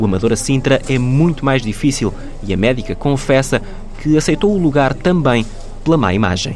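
With lively intonation, a man at medium pitch talks against noticeable background noise. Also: moderate pace. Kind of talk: scripted narration.

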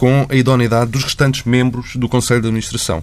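A man speaks in a medium pitch. Noticeable background noise is present. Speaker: journalist interviewer. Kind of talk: interview.

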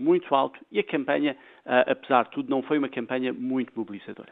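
A man talks at a fairly quick pace with ordinary pitch variation. He has an ordinary speaking voice. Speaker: political science professor. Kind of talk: radio interview.

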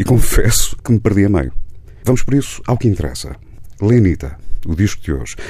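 Over noticeable background noise, a man with a fairly low pitch talks at a fairly quick pace with very wide pitch swings. He takes long, frequent pauses. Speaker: radio host. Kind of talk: radio interview. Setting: radio studio. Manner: formal.

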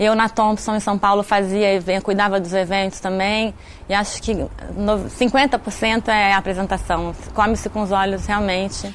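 A woman speaks at a fairly slow pace with hardly any pauses. Her intonation is monotone and flat. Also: medium pitch for a woman. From Brazil. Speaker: caterer, pastry business owner. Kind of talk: interview.

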